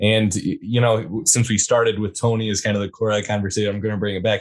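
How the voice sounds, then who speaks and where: An ordinary speaking voice from a man, fairly low in pitch and fairly quick in pace, against a quiet background. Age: 20s. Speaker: podcast host, guest. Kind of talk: casual chat.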